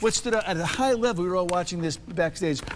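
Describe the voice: A man talks at a fast pace, his pitch high and its variation ordinary. Faint background noise sits behind him.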